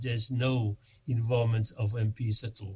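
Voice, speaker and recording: A somewhat breathy man speaks at a very slow pace and a medium pitch. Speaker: member of parliament. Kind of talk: workshop discussion remarks. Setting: virtual workshop video call. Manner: halting, many repetitions and fillers.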